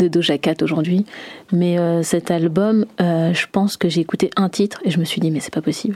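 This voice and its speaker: A woman's fairly low, fairly even voice at a moderate pace, in a dry, close sound with no echo. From France. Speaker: singer. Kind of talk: interview. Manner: hesitant, many fillers.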